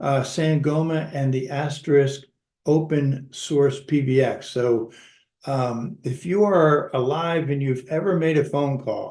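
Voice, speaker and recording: A man speaks at a very slow pace with a fairly high pitch. His voice is somewhat breathy, with ordinary pitch variation. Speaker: webinar host.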